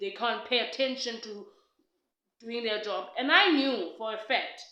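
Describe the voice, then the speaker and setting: A woman talks at a fairly slow pace in a bright, sharp tone with a fairly high pitch. Her loudness swings widely, and the room echo is audible. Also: ordinary pitch variation. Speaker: podcast co-host. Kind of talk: casual chat.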